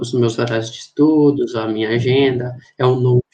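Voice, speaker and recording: This man speaks at a medium pitch and a moderate pace. His intonation is monotone and flat. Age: 20s. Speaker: engineering physics student, podcast co-host. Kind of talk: casual chat.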